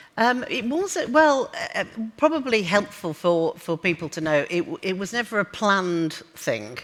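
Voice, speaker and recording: Speaking at a moderate pace, a woman with a slight northern English accent has a medium pitch and very wide pitch swings. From northern England. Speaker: business executive. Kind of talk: onstage interview. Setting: conference stage with audience. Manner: hesitant, many fillers.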